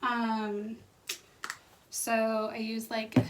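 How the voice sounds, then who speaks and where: The speaker is a woman. Her pitch is fairly high. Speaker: book vlogger. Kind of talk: casual vlog. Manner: quiet in the mornings; low energy in the morning.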